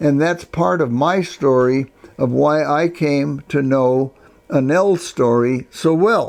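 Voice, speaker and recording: Very slow and very even in loudness, a man talks with a fairly high pitch and ordinary pitch variation. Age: 90s. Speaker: retired psychology professor. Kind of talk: interview. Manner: halting.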